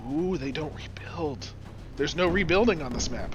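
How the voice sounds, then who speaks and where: Noticeable background noise sits under a man's voice, which is fairly high in pitch. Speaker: gaming YouTuber. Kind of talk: casual gameplay commentary.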